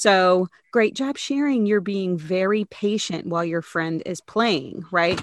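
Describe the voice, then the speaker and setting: In an ordinary speaking voice, a woman talks at a fairly slow pace and medium pitch with ordinary pitch variation against a quiet background. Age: 40s. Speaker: psychologist and professor. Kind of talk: casual chat.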